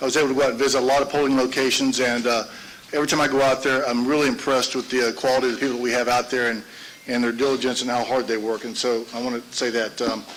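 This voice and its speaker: Over noticeable background noise, a man at medium pitch rattles along at a very fast pace in a monotone, flat delivery. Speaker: election board chairman. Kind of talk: formal public meeting.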